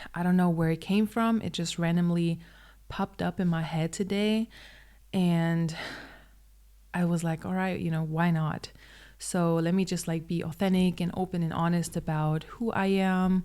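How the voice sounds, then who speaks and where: A woman with a German accent speaks at a moderate pace in a monotone, flat intonation. Her fairly low voice has a dark, mellow tone. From Germany. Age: 20s. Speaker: vlogger. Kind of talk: personal vlog monologue. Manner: hesitant, many fillers.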